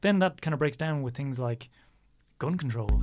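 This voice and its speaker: A somewhat breathy male voice. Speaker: podcaster, conspiracy. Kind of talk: casual chat.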